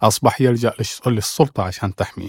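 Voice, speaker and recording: The sound is dry and close, with no echo, and the recording is very clean against a silent background. Pitch varies in an ordinary way, and it's an unremarkable speaking voice. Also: man. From Oman. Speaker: human rights activist and writer. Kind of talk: panel discussion.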